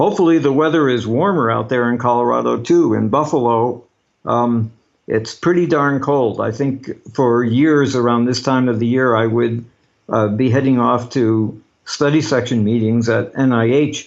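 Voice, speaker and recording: A man of medium pitch speaks at a moderate pace, keeping his loudness very even and varying his pitch in an ordinary way. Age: 60s. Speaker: cancer scientist. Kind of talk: lecture. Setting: video call. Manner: halting.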